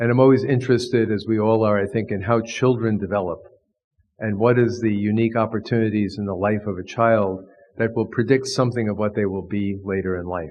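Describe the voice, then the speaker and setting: In an American accent, a man with an unremarkable speaking voice talks fairly quickly at a fairly low pitch, his intonation fairly even. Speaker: professor of divinity, Jesuit priest. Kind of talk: lecture.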